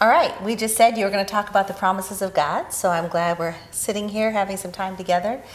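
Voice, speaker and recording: Amid noticeable background noise, a woman with an American accent talks very fast, with hardly any pauses, at a medium pitch and with fairly even intonation. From US Midwest, Wisconsin. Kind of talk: casual chat. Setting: at home.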